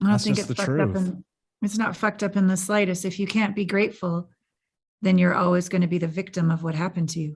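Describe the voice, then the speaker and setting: Soft-spoken and somewhat breathy, a woman talks at a very fast pace with ordinary pitch variation. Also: medium pitch for a woman. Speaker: podcast host. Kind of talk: podcast interview. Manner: soft, caring.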